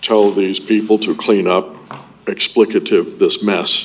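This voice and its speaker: With an American accent, a man talks fairly slowly while noticeable background noise carries on behind him. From Florida, Ormond Beach. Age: 60s. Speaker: public commenter. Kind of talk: public comment at city meeting. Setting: city commission meeting. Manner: halting, many fillers.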